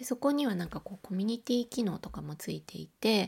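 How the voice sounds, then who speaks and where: A woman's somewhat breathy voice is captured in a very clean recording with a silent background. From Osaka. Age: 40s. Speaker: podcaster, illustrator and graphic designer. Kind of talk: solo audio diary monologue. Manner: casual with frequent fillers.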